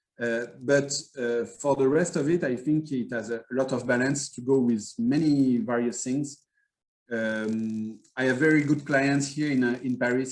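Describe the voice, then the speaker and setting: A man talks in a French accent at a moderate pace. His pitch is medium and his intonation fairly even. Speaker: winery owner. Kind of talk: interview. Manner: halting.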